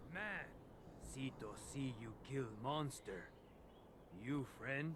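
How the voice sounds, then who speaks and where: Using a put-on character voice at a medium pitch, a man talks at a very slow pace over clear background noise. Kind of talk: broken, simplified speech.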